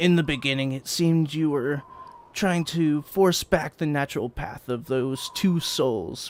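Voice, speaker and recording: Here a man does a raspy, put-on character voice with a fairly high pitch. He keeps a moderate pace. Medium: actual play. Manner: slow, solemn.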